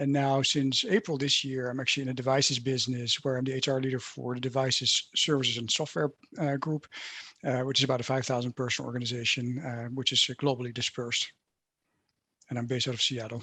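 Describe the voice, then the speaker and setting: Against a quiet background, a man with a Dutch accent talks at a very fast pace in a bright, sharp tone with fairly even intonation. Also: medium pitch for a man. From Netherlands. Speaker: HR leader. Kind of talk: panel discussion. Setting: video call.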